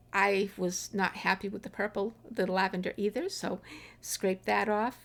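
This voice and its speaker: Here is a woman with an ordinary speaking voice and a medium pitch. Her pace is fairly slow. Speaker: dot artist. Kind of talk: art tutorial narration.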